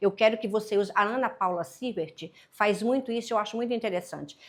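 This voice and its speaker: In a Paraíba accent, a woman speaks at a fairly high pitch with ordinary pitch variation. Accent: Northeastern Brazilian (Paraíba). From Brazil, Paraíba (Northeast). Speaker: business mentor and consultant. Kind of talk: podcast interview.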